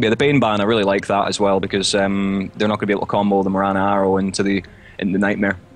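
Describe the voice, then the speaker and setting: A man's fairly low voice at a very fast pace, with fairly even intonation and very even loudness, over noticeable background noise. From Scotland, Glasgow. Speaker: esports caster. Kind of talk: live commentary.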